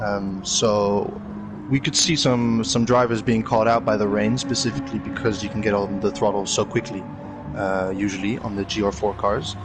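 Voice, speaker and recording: With music playing in the background, a man speaks in a Dutch accent at a fairly low pitch, with ordinary pitch variation. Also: moderate pace. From Netherlands. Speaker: sim racer, guest analyst. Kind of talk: race commentary analysis. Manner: hesitant, many fillers.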